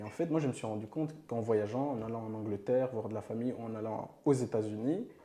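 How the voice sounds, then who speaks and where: Over noticeable background noise, a man with a medium-pitched voice talks at a very fast pace with hardly any pauses. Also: ordinary pitch variation. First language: not French (speaking French). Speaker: podcast host. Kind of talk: interview.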